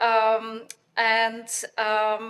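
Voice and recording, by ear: A woman speaks with a fairly high pitch. Her tone is fairly bright.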